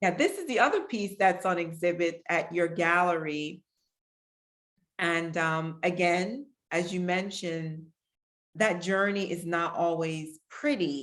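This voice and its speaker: A woman with an American accent and an ordinary speaking voice, fairly low in pitch, with ordinary pitch variation and a fairly slow pace. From Pennsylvania, Harrisburg. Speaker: artist. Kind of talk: artist talk.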